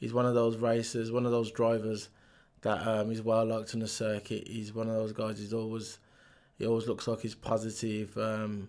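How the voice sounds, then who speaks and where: The man's voice sits at a medium pitch with monotone, flat intonation. He keeps a moderate pace. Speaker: motorsport commentator youtuber. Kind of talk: news review vlog. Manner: hesitant, many fillers.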